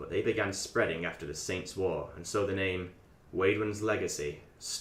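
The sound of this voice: The intonation is fairly even. It is an unforced reading voice.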